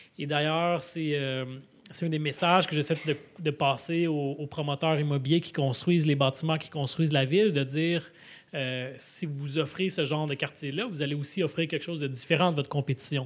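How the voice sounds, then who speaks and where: A man speaks at a moderate pace with a fairly high pitch and an ordinary speaking voice, on a very clean recording with a silent background. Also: fairly even intonation. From Quebec, Laval. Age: 30s. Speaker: mayor and author. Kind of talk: live podcast interview. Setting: public event with audience.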